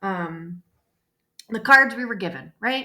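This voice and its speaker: A woman with a Chicago accent, a medium pitch and a bright, sharp tone, at a fairly slow pace. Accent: Chicago accent, noticeable. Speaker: school counselor. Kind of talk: classroom lesson video. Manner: casual, filler-heavy (okay, right, um).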